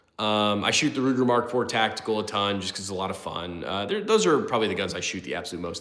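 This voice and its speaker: Audible room echo surrounds a man whose fairly low pitch carries a bright, sharp tone. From US Midwest. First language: not English. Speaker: gun channel livestream host. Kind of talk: casual livestream chat, reading chat. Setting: late-night livestream. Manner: casual, filler-heavy.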